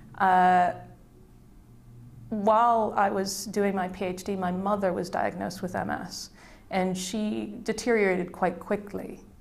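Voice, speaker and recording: Amid audible room echo, a woman with an American accent speaks at a fairly slow pace with fairly even intonation and long, frequent pauses. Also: medium pitch for a woman. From USA, Midwest. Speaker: IP and innovation consultant. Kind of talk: career interview testimony. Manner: hesitant, with fillers.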